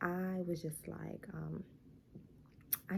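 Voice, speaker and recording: A woman speaks at a very slow pace. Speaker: vlogger, new mom. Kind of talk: casual vlog talk to camera. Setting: at home during baby's nap. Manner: quieter than usual, talking low; casual, filler-heavy.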